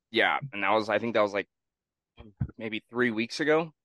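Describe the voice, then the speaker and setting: A man with an American accent, medium in pitch with ordinary pitch variation, bright and sharp in tone, in a dry, close sound with no echo. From Northern California. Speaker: podcast co-host. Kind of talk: casual chat. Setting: video call.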